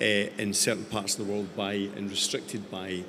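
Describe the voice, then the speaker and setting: A man with a Scottish accent, fairly low pitch, moderate pace, and light background noise. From Scotland. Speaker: tech company founder; panelist. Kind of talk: panel discussion. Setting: stage with audience. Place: stage. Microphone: handheld.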